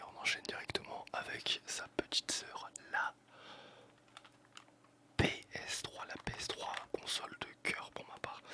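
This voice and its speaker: Whispering at a very slow pace, a man leaves long, frequent pauses, his loudness swinging widely over noticeable background noise. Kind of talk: ASMR whisper-style talk to camera about controllers. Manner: relaxed, casual, jokey.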